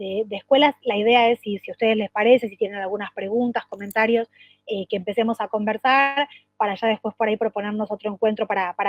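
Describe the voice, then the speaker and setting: Over music in the background, a woman talks at a fairly quick pace with fairly even intonation. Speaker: education official. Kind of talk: work meeting presentation. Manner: fast; halting with many repetitions and fillers.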